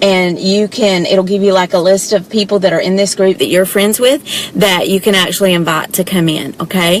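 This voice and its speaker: With a Southern US accent, a woman speaks at medium pitch against noticeable background noise. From US South, south Georgia. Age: 40s. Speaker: direct sales presenter. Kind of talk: live video chat. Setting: parked car. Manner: animated.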